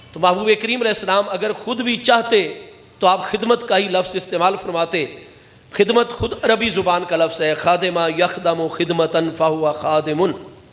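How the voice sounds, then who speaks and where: Noticeable background noise under a high male voice with ordinary pitch movement. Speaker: Islamic scholar, preacher. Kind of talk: religious sermon. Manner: emotional.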